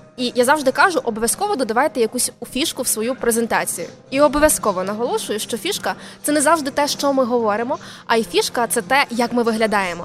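High-pitched woman at a very fast pace, lively intonation over noticeable background noise. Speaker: soft skills and public speaking coach. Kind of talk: casual interview. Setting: live broadcast from a mobile studio at a venue.

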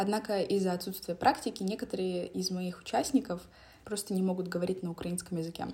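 Speaking very fast, a woman keeps her pitch in the medium range. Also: ordinary pitch variation. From Donetsk, eastern Ukraine. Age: young. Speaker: podcast host. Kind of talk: personal monologue.

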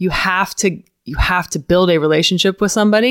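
A woman with an American accent speaks in an unremarkable speaking voice at a fairly quick pace, with fairly even intonation. The recording is very clean, with a silent background and a dry, close sound with no echo. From Florida, US. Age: 30s. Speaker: CrossFit author and communicator. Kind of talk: casual chat. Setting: in person at host's home.

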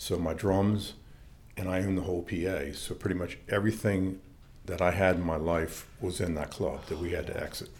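A man speaks at a moderate pace with a very deep, low pitch and a somewhat breathy quality. His intonation stays fairly even, and room echo is audible. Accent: American. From Maryland, northern Baltimore County. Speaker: church leader and former rock drummer. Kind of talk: personal testimony interview.

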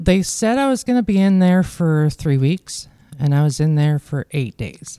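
Lively intonation and a dark, mellow tone come through in a Canadian Prairie accent. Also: woman, very deep, low pitch for a woman, moderate pace, dry, close sound with no echo. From Manitoba, Canada. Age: 40s. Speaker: amputee. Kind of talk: interview.

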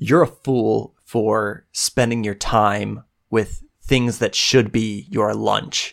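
At a very slow pace, a man growls through a put-on character voice at medium pitch, captured on a very clean recording with a silent background. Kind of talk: dramatic. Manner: snarling, contemptuous.

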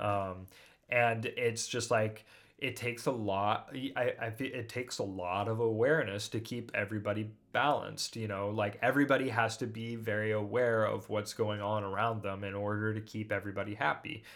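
A man's unremarkable speaking voice at a moderate pace, with fairly even intonation. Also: fairly low pitch for a man. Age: 30s. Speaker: musician. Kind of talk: casual chat.

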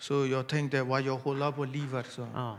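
A man with a fairly high pitch delivers his words at a fairly slow pace. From Burma. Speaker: church member. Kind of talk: testimony. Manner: halting.

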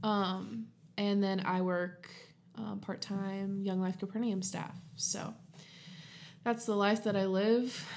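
A woman's medium-pitched voice with an American accent, very slow and monotone, with long, frequent pauses and audible room echo. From southern Ohio. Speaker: podcast co-host. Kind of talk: casual chat. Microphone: new USB studio mic.

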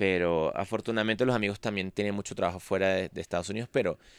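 In a dry, close sound with no echo, a man talks with a fairly low pitch. He uses a normal speaking voice with fairly even intonation. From Venezuela. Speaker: musician. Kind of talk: interview. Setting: studio.

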